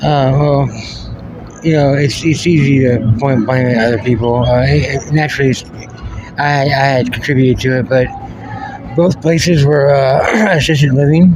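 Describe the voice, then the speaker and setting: With audible room echo and noticeable background noise, a man with a fairly high voice talks at a moderate pace, using fairly even intonation and long, frequent pauses. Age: 40s. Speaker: homeless military veteran. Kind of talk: interview. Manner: halting.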